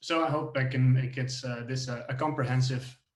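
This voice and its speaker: A man's somewhat breathy voice, monotone and flat in intonation, at a fairly slow pace. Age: 20s. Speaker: software engineer. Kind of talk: tech talk. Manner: halting, many fillers.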